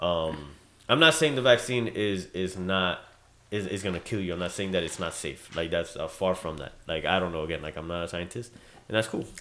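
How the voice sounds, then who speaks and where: A man's very deep, low pitch at a fairly quick pace, with ordinary pitch variation. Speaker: podcast co-host. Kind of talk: casual chat. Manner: fast talker.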